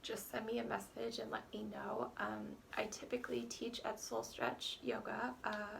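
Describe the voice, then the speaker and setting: A woman at a moderate pace, with audible room echo. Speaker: yoga teacher. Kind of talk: guided yoga class. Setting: at home.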